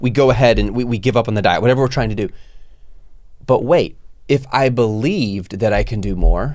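At a fairly quick pace, a man talks at medium pitch with ordinary pitch variation. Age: 40s. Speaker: podcast host and online business entrepreneur. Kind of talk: casual chat. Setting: studio. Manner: loud.

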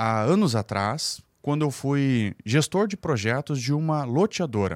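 A man speaks at a fairly slow pace with hardly any pauses, his pitch swinging very widely. The sound is dry and close with no echo, on a very clean recording with a silent background. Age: 30s. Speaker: real estate developer and teacher. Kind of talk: podcast interview.

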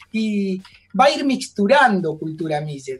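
A man speaks with an Argentine accent, his pitch high and his intonation lively. Music plays in the background. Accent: Rioplatense Argentine Spanish. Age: 40s. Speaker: actor and singer. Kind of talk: radio interview. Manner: animated.

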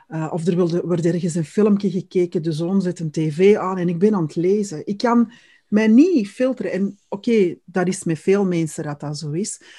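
Against a quiet background, a woman of medium pitch talks at a moderate pace with a dark, mellow tone, a somewhat breathy sound and ordinary pitch variation. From Netherlands. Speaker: podcast co-host. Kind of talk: casual interview chat.

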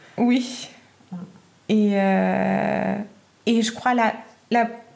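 A woman's medium-pitched voice with a German accent. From Germany. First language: German (speaking French). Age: 30s. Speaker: midwife. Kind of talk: interview. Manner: halting, many fillers.

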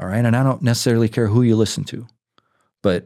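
A man speaks in a dark, mellow tone on a very clean recording with a silent background. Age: 50s. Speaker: licensed counselor and Army veteran. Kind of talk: casual chat.

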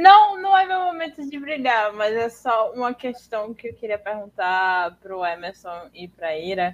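Barely pausing, a woman speaks at a fairly slow pace and a fairly high pitch, her voice making very wide pitch swings and big swings in loudness. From Northeast Brazil. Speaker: podcaster and content writer. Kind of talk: panel discussion.

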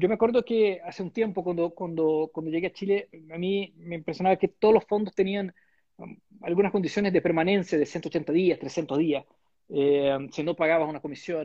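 At a moderate pace, a man with a Portuguese accent speaks at high pitch with ordinary pitch variation. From Brazil. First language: Portuguese (speaking Spanish). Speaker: bank investment executive. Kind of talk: interview. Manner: halting.

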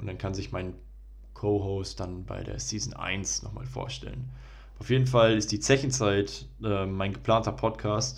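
A man at a moderate pace, with audible room echo. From Germany, Ruhr area (Bochum). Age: 20s. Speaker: podcast host, medical student. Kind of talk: solo podcast intro monologue.

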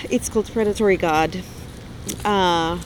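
This woman's voice sits at a medium pitch, with noticeable background noise behind it. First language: not English. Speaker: author. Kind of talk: casual chat. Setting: outdoors on a park bench.

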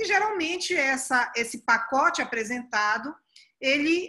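A woman projects a raised voice with a bright, sharp tone. Her high pitch rises and falls with lively intonation. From Pará, northern Brazil. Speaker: prosecutor and law professor. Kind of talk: podcast interview.

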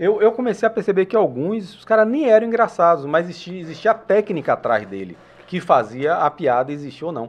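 A man's high-pitched voice at a fairly quick pace, with very wide pitch swings and big swings in loudness. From Salvador, Bahia, Brazil. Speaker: podcast host. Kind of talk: casual chat.

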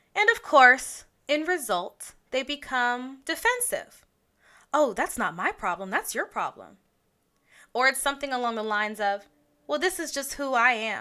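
A raised, projected voice with a bright, sharp tone and very wide pitch swings moves at a moderate pace on a very clean recording with a silent background. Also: woman, high pitch for a woman. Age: 20s. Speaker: podcast host. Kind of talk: personal monologue podcast. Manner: laughs often.

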